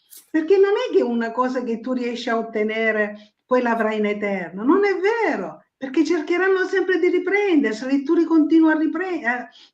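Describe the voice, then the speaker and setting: Set in audible room echo, a woman's high-pitched voice moves through very wide pitch swings. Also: moderate pace. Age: 70s. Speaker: writer, guest. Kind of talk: casual chat. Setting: live streaming show. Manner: animated.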